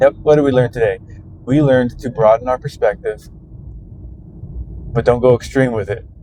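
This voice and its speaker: The speaker goes at a moderate pace with long, frequent pauses and fairly even intonation, against noticeable background noise. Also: man, medium pitch for a man. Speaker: vlogger. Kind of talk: casual monologue while driving. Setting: in a truck. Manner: quieter than usual, conversational volume; usually loud.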